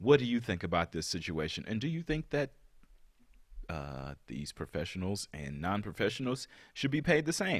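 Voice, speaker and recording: In a very clean recording with a silent background, a man with a fairly low pitch and vocal fry speaks at a moderate pace in an animated tone, his pitch swinging very widely. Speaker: podcast host. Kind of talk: casual banter with comedic bits. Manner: joking, animated, interrupts often.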